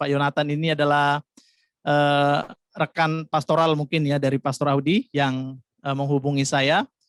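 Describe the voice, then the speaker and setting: In a Javanese accent, the speaker holds a monotone, flat intonation at a moderate pace, recorded dry and close with no echo. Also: man. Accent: Javanese-tinged Indonesian. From Jakarta, Indonesia (Batak family). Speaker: pastor. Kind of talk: sermon.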